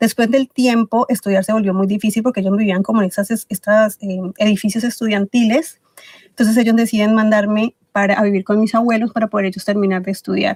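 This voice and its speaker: Her fairly high voice is somewhat breathy and monotone, with flat intonation. The woman talks at a fairly quick pace, and the sound is dry and close with no echo. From Ecuador. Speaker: podcast guest, book club organizer. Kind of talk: interview.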